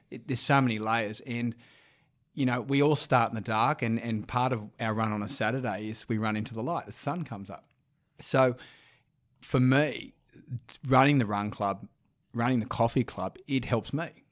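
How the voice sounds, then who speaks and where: In an Australian accent, a medium-pitched man speaks at a moderate pace with ordinary pitch variation and long, frequent pauses, on a very clean recording with a silent background. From Sydney, eastern suburbs. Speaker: run club founder. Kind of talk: casual interview.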